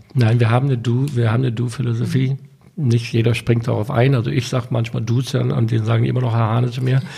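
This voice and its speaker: A man talks at a very fast pace with hardly any pauses, his medium-pitched voice dark, mellow and somewhat breathy. His intonation stays fairly even throughout. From Germany (US-born, moved at six). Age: 50s. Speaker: restaurant entrepreneur. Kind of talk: interview.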